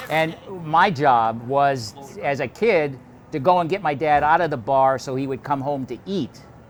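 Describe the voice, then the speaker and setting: This man has a fairly high pitch and an American accent. Noticeable background noise runs behind him. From US Midwest, Milwaukee, Wisconsin (Polish south side). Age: 70s. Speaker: television producer. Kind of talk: documentary narration, walking tour. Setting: outdoors on street, then in a bar. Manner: casual, conversational.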